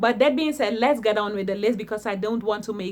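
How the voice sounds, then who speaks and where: With a non-native accent, a woman speaks at a fairly high pitch. Her pitch variation is ordinary. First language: not English. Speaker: online business vlogger. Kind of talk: casual talk to camera. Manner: hesitant; tongue clicking.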